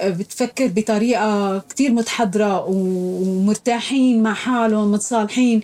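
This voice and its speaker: A woman speaks very slowly at a fairly high pitch with fairly even intonation. There are hardly any pauses. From Syria. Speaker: refugee, former housewife. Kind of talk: interview.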